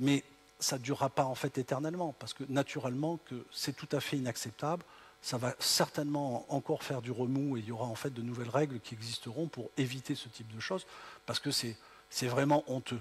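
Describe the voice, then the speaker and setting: Somewhat breathy, a man with a slight southern French accent speaks at a fairly quick pace. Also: medium pitch for a man. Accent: slight southern French (Midi). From southern France. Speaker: tech company founder, keynote speaker. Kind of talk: keynote speech. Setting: auditorium with audience. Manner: hesitant, many fillers.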